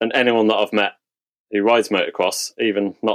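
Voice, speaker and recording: The sound is dry and close with no echo as this man talks at a fairly quick pace. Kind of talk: casual interview chat. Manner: technical, explanatory.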